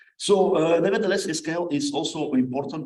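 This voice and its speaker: A man with a non-native accent talks at a fairly quick pace amid noticeable background noise and audible room echo. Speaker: conference speaker, scholar of ancient history. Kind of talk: conference paper presentation. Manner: halting, many fillers.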